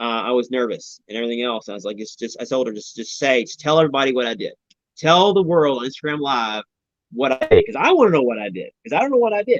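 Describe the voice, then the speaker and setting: A man speaks very fast at medium pitch. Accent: Southern US. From Louisville, Kentucky. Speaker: reality TV participant. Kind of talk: live stream interview. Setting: live video stream. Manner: words running together.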